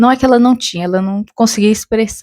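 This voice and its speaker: The tone is dark and mellow, with fairly even intonation. The sound is dry and close, with no echo. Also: woman. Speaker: book reviewer. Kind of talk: casual talk to camera.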